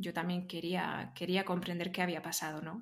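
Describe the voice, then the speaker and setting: A woman speaks in a fairly low, flat monotone. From Spain, Barcelona. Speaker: interview guest sharing personal growth story. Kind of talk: casual interview conversation.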